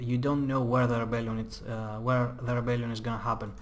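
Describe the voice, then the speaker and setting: With a non-native accent, a man speaks at a medium pitch amid noticeable background noise and audible room echo. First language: not English. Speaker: gaming youtuber. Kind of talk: gameplay tutorial commentary. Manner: casual, with many fillers.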